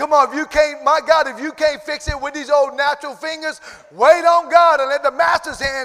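A man speaks in a raised, projected voice. There is noticeable background noise behind him. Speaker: preacher. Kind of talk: sermon. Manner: animated.

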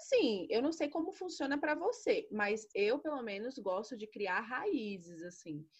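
A somewhat breathy woman's voice at a moderate pace, with very wide pitch swings. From Brasília, Brazil. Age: 20s. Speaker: podcast co-host, history teacher. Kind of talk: casual chat.

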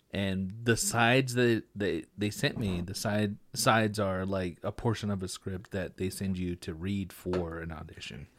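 In an American accent and a normal speaking voice, a man with fairly low pitch talks at a fairly slow pace with ordinary pitch variation, on a very clean recording with a silent background. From Texas Panhandle, Amarillo area. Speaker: podcast host, actor and editor. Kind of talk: casual chat.

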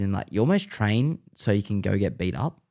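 A man with an Australian accent speaks at a fairly low pitch in a dark, mellow tone. The recording is very clean, with a silent background. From Western Sydney, Australia. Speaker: former pro scooter rider and content creator. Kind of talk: casual chat. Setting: studio.

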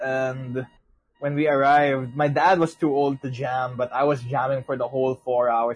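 A man's somewhat breathy, animated voice at medium pitch and a moderate pace. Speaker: podcast host. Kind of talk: casual chat. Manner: animated, joking.

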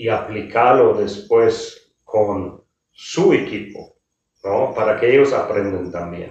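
A man in a German accent, at a very slow pace. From Germany. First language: German (speaking Spanish). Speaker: hotel executive. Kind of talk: interview. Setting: hotel.

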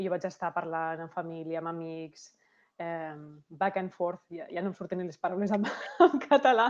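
A woman with a normal speaking voice, fairly low in pitch, at a fairly slow pace with big swings in loudness. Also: ordinary pitch variation. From Catalonia, Lleida. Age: 30s. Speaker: insurance advisor. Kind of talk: interview.

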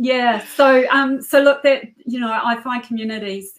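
The pace here is moderate. The woman talking has a New Zealand accent. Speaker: cybersecurity entrepreneur. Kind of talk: interview.

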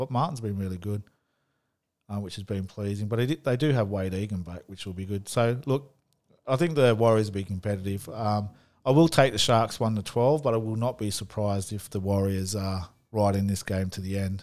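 In an Australian accent, a man talks at a fairly quick pace with a fairly low pitch and ordinary pitch variation. The recording is very clean, with a silent background. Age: 40s. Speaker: sports podcast host. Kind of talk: solo sports tips podcast. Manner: casual, some hesitations.

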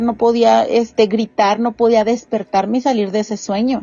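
A woman speaks at a fairly quick pace with a Mexican accent. Her pitch is fairly high and her intonation monotone and flat. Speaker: podcast host. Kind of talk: casual chat.

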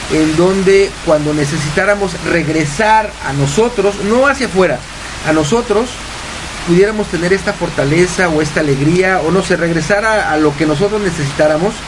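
A man speaks at a moderate pace with a high pitch. Noticeable background noise runs underneath. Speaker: radio host and happiness coach. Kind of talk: casual radio talk. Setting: home studio. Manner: animated.

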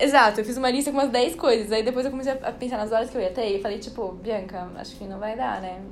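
A woman with a fairly high pitch talks at a very fast pace with hardly any pauses. Noticeable background noise and audible room echo fill the recording. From Brazil, São Paulo. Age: young. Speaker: podcast guest, traveler. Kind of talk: casual chat.

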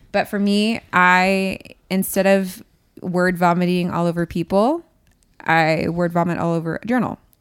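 A normal speaking voice from a woman, medium-pitched, with fairly even intonation at a moderate pace, on a very clean recording with a silent background. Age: 20s. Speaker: podcast guest in pastoral career. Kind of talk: personal testimony in casual chat.

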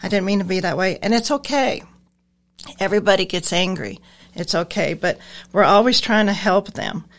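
In a very clean recording with a silent background, a woman with an American accent talks at a moderate pace and medium pitch, with ordinary pitch variation and long, frequent pauses. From Nebraska. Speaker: transportation driver and receptionist. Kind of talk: casual interview.

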